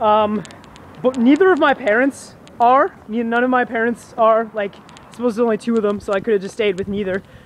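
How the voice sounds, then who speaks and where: A man talks fairly quickly with a Canadian accent, his pitch extremely high. His loudness swings widely, and background noise is noticeable. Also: ordinary pitch variation. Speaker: vlogger. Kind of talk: casual chat. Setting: outdoors.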